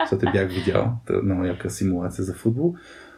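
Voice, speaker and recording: Somewhat breathy, with a dark, mellow tone, a man speaks at a moderate pace. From Bulgaria, Burgas. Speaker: podcast co-host. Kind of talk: casual chat.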